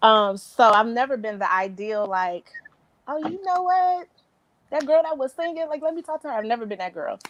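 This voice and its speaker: A loud woman's voice, high in pitch, with very wide pitch swings at a moderate pace. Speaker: panel guest on faith talk show. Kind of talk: casual chat.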